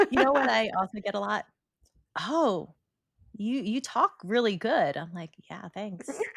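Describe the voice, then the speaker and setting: Her pitch is fairly high, and a woman's voice shows vocal fry with very wide pitch swings. She goes at a fairly slow pace with big swings in loudness. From New York City (Brooklyn). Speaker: podcast co-host. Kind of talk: casual chat.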